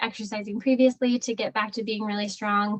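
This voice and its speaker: Her voice somewhat breathy and fairly high in pitch, a woman speaks at a fairly quick pace in a flat, monotone intonation. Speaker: pelvic floor physical therapist. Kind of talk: online talk with Q&A. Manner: fast; casual, filler-heavy.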